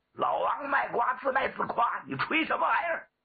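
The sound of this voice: Using a put-on character voice at an extremely high pitch, a man talks at a fairly quick pace with big pitch swings and vocal fry.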